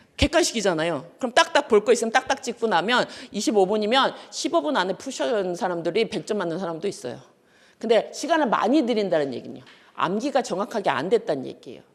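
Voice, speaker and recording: Speaking at a very fast pace, a woman with a fairly high pitch uses an animated tone, very wide pitch swings, and vocal fry. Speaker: law lecturer. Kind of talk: lecture.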